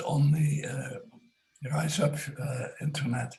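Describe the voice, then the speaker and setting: This man's voice sits fairly high in pitch. It has a somewhat breathy quality. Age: 90s. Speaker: retired biodynamic food advocate. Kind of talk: casual comment in group discussion. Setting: video call. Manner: halting.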